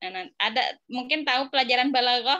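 Against a quiet background, a woman speaks. She keeps a moderate pace. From Indonesia. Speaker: Arabic teacher. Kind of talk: online class lesson. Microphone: phone near.

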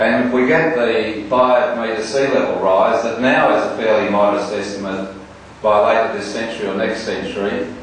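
Amid strong room echo and light background noise, a man speaks at a fairly slow pace with ordinary pitch variation. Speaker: politician. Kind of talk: political speech.

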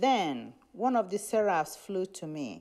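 Against a quiet background, a woman with a dark, mellow tone speaks very slowly with lively intonation. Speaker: lay reader. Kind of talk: scripture reading and reading prayer names. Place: church.

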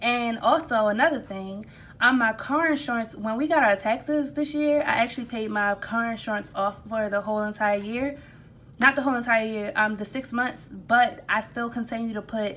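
Her tone is bright and sharp, with ordinary pitch variation. The woman speaks at a moderate pace. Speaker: budgeting vlogger. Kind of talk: casual tutorial chat. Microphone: phone near.

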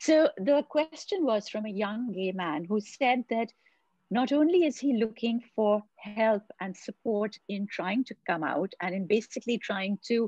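A woman talks at a fairly slow pace in a somewhat breathy voice with lively intonation. The sound is dry with no echo, and the background is quiet. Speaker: podcast host. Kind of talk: interview question. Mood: earnest, emotional. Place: home room. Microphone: video call.

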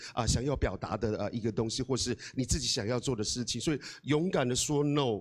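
Against a quiet background, a man speaks in an animated tone. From Taiwan, Amis village in Hualien; Taiwan. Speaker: guest. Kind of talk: motivational talk. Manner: hesitant, many fillers. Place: hall. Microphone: handheld.

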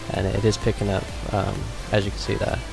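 Clear music plays in the background. A man speaks at a fairly quick pace. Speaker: tutorial maker. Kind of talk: screen-recorded tutorial narration. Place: home room.

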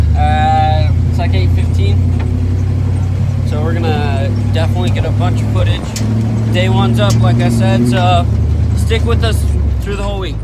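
A man at a fairly slow pace, with a dry sound with no echo and loud background noise. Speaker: off-road vlogger. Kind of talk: casual vlog chat. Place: car. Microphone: phone near.

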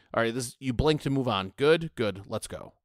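A man with an ordinary speaking voice talks at a fairly quick pace and medium pitch with ordinary variation, in a very clean, silent-background recording that is dry and close with no echo. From United States. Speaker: podcast panelist. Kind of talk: casual chat.

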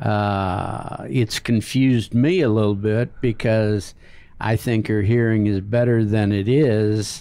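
Very slow, very evenly loud speech in an American accent, dark and mellow in tone with fairly even intonation. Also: man, fairly low pitch for a man. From United States. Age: 70s. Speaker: retired marine and missionary ministry founder. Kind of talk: interview. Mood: warm, relaxed storytelling. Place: studio. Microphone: studio mic.

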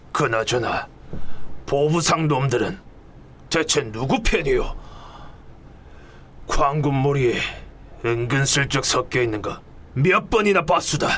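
A put-on character voice with lively intonation at a fairly slow pace, over clear background noise. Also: man, fairly high pitch for a man. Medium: audio drama. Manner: gruff, blunt.

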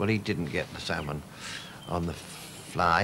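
A man keeps a moderate pace, his speech accompanied by noticeable background noise. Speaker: TV presenter. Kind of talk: TV documentary narration.

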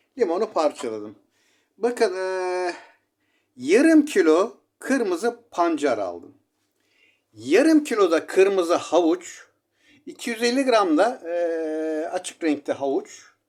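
A high-pitched man at a very slow pace, with very wide pitch swings and long, frequent pauses. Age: 60s. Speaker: self-styled shaman giving herbal remedies. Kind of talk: home remedy tutorial.

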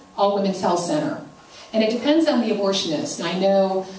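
A woman speaks at a fairly quick pace with lively intonation. Audible room echo and light background noise are present. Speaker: presenter. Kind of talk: informational talk to an audience. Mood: earnest, concerned. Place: church. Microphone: handheld.

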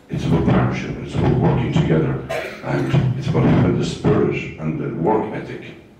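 Speech comes at a fairly quick pace with strong room echo. Noticeable background noise runs underneath. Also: man. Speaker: local councillor giving opening remarks. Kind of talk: public speech. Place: hall.

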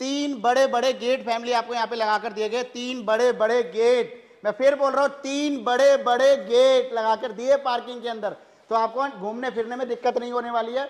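A man speaks at a fairly slow pace with hardly any pauses. His pitch is extremely high for a man, and his intonation is flat and monotone. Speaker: real estate dealer. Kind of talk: sales pitch.

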